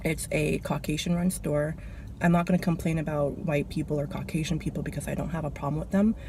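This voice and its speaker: A soft-spoken woman at a very fast pace. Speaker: vlogger, cashier. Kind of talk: casual vlog rant. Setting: in a car.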